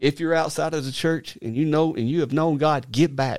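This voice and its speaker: A fairly high-pitched man with an Arkansas accent, fairly quick in pace, with ordinary pitch variation, on a very clean recording with a silent background. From Arkansas, US South. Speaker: minister. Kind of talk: casual chat. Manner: halting.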